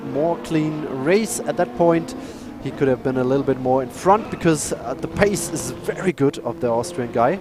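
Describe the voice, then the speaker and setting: A man speaks with a German accent. Music plays in the background. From Germany. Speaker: sim racing commentator. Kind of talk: live commentary. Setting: live stream. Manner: halting.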